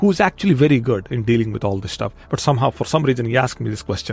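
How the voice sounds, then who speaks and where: Ordinary pitch variation runs through this speech, along with vocal fry. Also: man. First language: not English. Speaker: podcast host. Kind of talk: motivational podcast monologue. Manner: repetitive, self-correcting.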